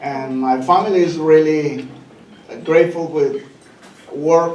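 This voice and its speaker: A man with a fairly high voice and a Spanish accent speaks amid noticeable background noise and audible room echo. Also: fairly even intonation, fairly slow pace. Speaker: senior living community employee. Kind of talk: speech at a gala. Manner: halting, many fillers.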